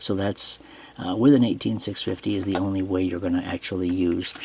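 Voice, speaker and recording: Someone talks at a moderate pace with fairly even intonation against noticeable background noise. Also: man. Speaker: flashlight reviewer. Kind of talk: product review tutorial. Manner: hesitant, many fillers.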